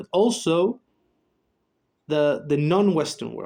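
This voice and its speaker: A man speaks with a Spanish accent and ordinary pitch variation. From Chile. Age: 20s. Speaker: psychologist and YouTuber. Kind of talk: casual monologue. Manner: halting, many fillers.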